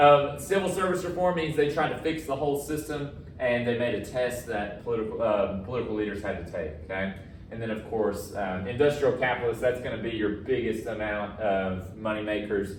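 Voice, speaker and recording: A man talks at a fairly quick pace with lively intonation. Audible room echo and noticeable background noise fill the recording. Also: medium pitch for a man. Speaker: high school history teacher. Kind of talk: recorded lecture. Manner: casual, filler-heavy.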